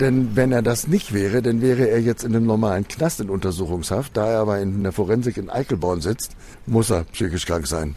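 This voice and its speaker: A fairly quick tempo drives the speech. Its tone is dark and mellow. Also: man, fairly low pitch for a man, ordinary pitch variation. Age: 50s. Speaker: crime victim, professional driver. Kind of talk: testimony.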